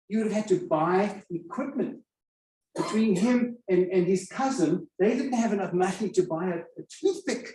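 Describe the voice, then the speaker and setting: A man with a South African accent, dark, mellow tone and moderate pace. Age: 70s. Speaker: storyteller. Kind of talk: storytelling talk.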